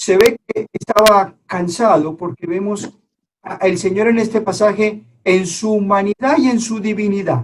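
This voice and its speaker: A man talks at a fairly slow pace with a Colombian accent and a high pitch. The sound is dry and close, with no echo. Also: ordinary pitch variation. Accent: Colombian accent, noticeable. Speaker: preacher. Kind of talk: sermon. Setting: online church service.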